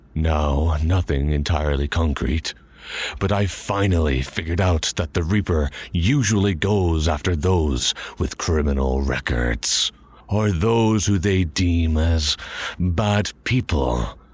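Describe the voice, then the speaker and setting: A man puts on a character voice with a very deep, low pitch. He talks at a fairly slow pace with very even loudness. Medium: audio drama. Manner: blunt, sardonic.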